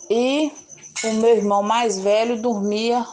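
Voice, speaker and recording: A woman at a very slow pace. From Minas Gerais, Brazil (Governador Valadares). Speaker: community resident, vegetable seller. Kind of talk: life story interview.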